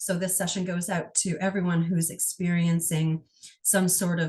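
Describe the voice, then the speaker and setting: At a moderate pace, a woman speaks in a somewhat breathy voice pitched fairly low. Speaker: energy healer. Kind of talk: guided healing session.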